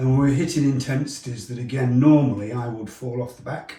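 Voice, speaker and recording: This man has an ordinary speaking voice. His pitch is medium and moves with ordinary variation. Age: 60s. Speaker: triathlete. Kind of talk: testimonial interview answer.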